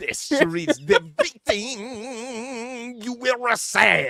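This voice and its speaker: A put-on character voice delivers its lines at a very slow pace and a fairly high pitch. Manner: threatening, stern.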